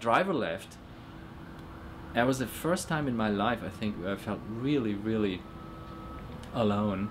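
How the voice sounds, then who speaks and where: There is audible room echo as a man talks with a German accent. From Germany. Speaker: illustrator. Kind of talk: interview testimony. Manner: halting, many repetitions and fillers.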